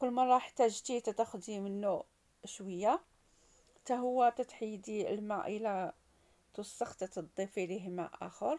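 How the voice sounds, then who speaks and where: A woman's dark, mellow tone at a very slow pace, with ordinary pitch variation. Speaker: home cooking vlogger. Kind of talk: tutorial. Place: kitchen. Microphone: phone near.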